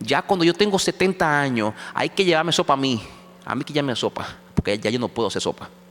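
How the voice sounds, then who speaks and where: Very wide pitch swings mark this man's speech. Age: 50s. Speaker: pastor. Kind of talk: sermon. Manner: halting.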